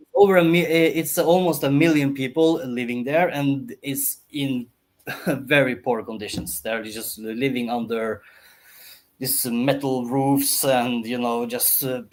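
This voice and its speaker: With a Norwegian accent, a man speaks at a fairly slow pace and medium pitch, his pitch varying in an ordinary way. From Norway. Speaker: entrepreneur. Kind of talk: podcast interview. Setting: live-streamed podcast. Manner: halting, many fillers and restarts.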